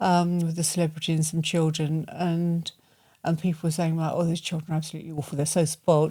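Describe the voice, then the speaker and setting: A woman's fairly low, dark and mellow voice, monotone and flat, at a very fast pace, on a very clean recording with a silent background. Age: 70s. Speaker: podcast co-host and aesthetics clinic owner. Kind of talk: casual chat.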